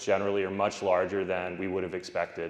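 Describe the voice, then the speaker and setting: Speaking very fast, a man gets through his lines quickly. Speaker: philosophy professor giving keynote. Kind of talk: conference keynote lecture. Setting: conference stage with audience. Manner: loud.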